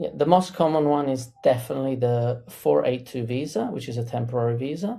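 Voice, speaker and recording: A man's breathy-edged, dark and mellow voice in an Italian accent, medium in pitch, fairly quick with hardly any pauses and ordinary pitch variation. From Italy. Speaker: immigration lawyer. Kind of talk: interview.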